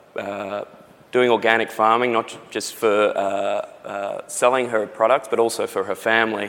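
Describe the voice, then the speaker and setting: A man with an Australian accent speaks at a fairly slow pace and medium pitch, with fairly even intonation. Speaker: company CEO. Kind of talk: live interview. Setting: conference stage with audience.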